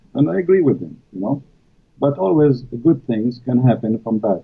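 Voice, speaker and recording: A man's medium-pitched voice with an Arabic accent, moderate pace, lively intonation and big swings in loudness. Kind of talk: live stream interview. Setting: live stream. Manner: halting, many fillers.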